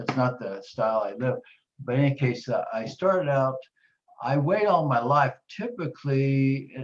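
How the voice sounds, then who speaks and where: A man speaks in a somewhat breathy voice. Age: 70s. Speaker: weight-loss program client. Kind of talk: testimony.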